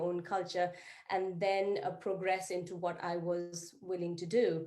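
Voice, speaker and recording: A woman at a moderate pace, with a medium pitch, a dark, mellow tone, and audible room echo. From Nepal. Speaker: psychiatrist. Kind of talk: panel introduction at virtual meeting. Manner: hesitant, many fillers.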